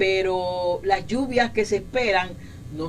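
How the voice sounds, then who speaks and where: Amid noticeable background noise, a woman speaks fairly slowly at a medium pitch with ordinary pitch variation. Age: 60s. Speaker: meteorologist, weather office director. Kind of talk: interview. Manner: halting, many repetitions and fillers.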